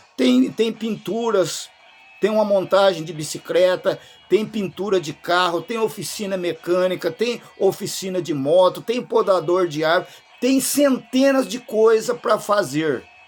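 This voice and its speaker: Music plays in the background as a man talks at a fairly slow pace and a high pitch. His tone is animated and his intonation lively. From rural Brazil. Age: 60s. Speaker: YouTuber commentator. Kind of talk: opinion monologue.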